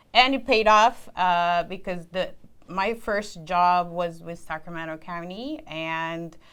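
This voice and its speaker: With a non-native accent, a woman talks at a medium pitch using ordinary pitch variation. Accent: non-native accent, worked on reducing it. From immigrant, grew up outside the US. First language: not English. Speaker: civil engineer. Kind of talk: career interview.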